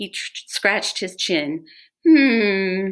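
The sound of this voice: Over a quiet background, the reading voice sounds unforced.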